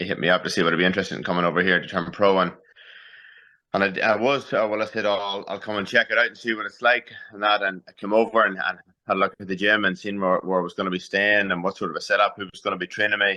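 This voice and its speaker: This man talks very fast in a flat monotone at a fairly low pitch. His tone is bright and sharp, and the background is quiet. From Northern Ireland, Newry. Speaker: professional boxer. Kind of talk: interview.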